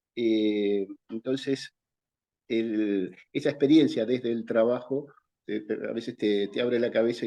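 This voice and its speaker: At a fairly slow pace, a man with a Rioplatense accent talks at a medium pitch with ordinary pitch variation. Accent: Argentine Spanish (rioplatense-type, voseo). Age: 60s. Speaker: vocational school teacher. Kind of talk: interview. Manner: hesitant, with many fillers.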